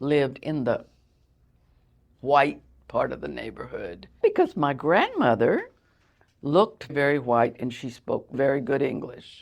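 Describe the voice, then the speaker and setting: In a Texan accent, a woman speaks at a fairly slow pace with a very deep, low pitch. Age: 70s. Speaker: interviewee sharing life story. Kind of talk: casual interview, personal storytelling. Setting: makeshift studio.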